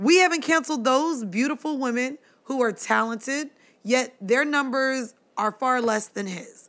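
In a very clean recording with a silent background, a woman with an American accent talks at a moderate pace in a high pitch. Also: ordinary pitch variation. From Florida, US South. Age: 30s. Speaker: podcast host. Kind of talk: casual chat.

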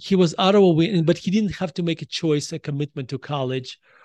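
A man speaks in a Russian accent with ordinary pitch variation. The quiet background surrounds a dry, close sound with no echo. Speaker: author. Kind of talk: casual chat.

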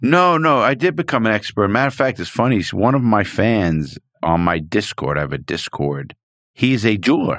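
In a very clean recording with a silent background, a man of medium pitch speaks at a moderate pace with very wide pitch swings. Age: 50s. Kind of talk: interview.

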